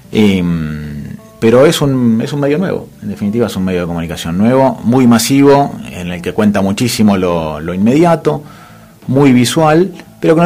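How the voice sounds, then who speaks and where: A man's voice swings very widely in pitch while noticeable background noise carries on underneath. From Greater Buenos Aires, Argentina. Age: 40s. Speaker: photographer and editor. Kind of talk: radio interview. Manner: hesitant, many fillers.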